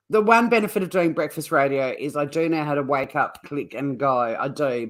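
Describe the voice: Using a raspy put-on character voice, a man talks fairly quickly at a fairly high pitch with lively intonation.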